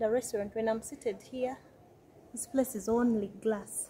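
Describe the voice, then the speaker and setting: With light background noise, a woman speaks at a fairly high pitch in a somewhat breathy, dark, mellow voice. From Uganda. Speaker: travel vlogger. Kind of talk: travel vlog walkthrough. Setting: outdoors. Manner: animated. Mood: cheerful, relaxed. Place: cafe. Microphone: phone near.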